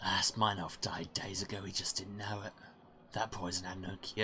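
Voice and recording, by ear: The speaker reads aloud in a natural voice with fairly even intonation.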